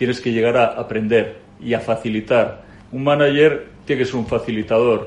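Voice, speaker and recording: His intonation is fairly even and his pace moderate. The speaker is a man with a medium pitch. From Spain, Madrid. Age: 40s. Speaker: company CEO. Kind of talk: interview. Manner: halting, frequent repetitions.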